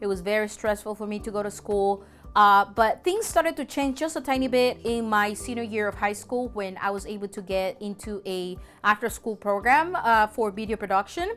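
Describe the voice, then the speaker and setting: The speaker is a woman with a medium pitch. The recording is very clean, with a silent background. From El Salvador. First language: Spanish. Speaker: documentary filmmaker. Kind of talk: testimony. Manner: hesitant, with many fillers.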